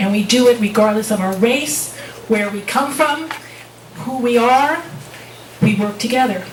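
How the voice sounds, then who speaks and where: A high-pitched female voice with an American accent, amid noticeable background noise and audible room echo. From New Jersey. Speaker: public commenter at city council, realtor. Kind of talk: public comment speech. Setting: city council meeting.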